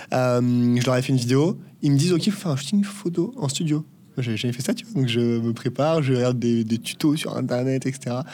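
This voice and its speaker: Lively intonation marks this man's dark, mellow tone, heard at a medium pitch and a fairly quick pace. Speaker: agency co-founder, business school graduate. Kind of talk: casual interview. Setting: in person, La Rochelle.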